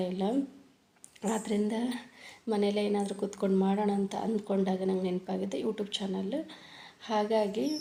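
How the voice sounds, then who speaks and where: A woman with a North Karnataka accent talks at a medium pitch. Her loudness stays very even and her intonation fairly even. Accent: North Karnataka Kannada. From Ballari district, Karnataka (Siruguppa area village). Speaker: vlogger, homemaker. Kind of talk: casual vlog narration. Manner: halting.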